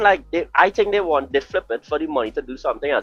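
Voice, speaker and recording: The speech goes at a fairly quick pace. Behind it, there is music in the background. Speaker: gaming podcast host. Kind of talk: casual debate. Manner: sounds argumentative.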